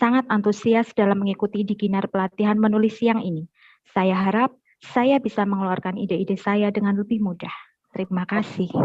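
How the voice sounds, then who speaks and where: Somewhat breathy and at medium pitch, a woman talks at a fairly quick pace with fairly even intonation in a dry, close sound with no echo. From Semarang, Central Java, Indonesia. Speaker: workshop participant. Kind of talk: reading own self-introduction.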